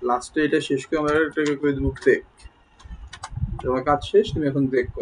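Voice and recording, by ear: Fast speech carries a slightly husky edge and fairly even intonation. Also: man, medium pitch for a man.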